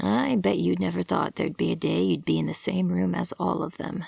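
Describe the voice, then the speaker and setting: A woman puts on a character voice that is raspy and very deep, low in pitch. She talks at a fairly quick pace. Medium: read story. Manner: warm, sincere, gently amused.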